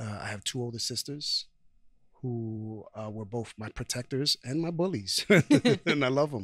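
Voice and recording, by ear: Speaking at a medium pitch, a man has a fairly bright tone. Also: ordinary pitch variation, fairly slow pace.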